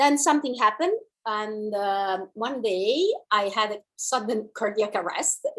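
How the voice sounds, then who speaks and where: A woman speaks with an Italian accent at a fairly high pitch. Her pace is fairly slow, with ordinary pitch variation. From Italy. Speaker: dancer and movement teacher. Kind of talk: online class introduction.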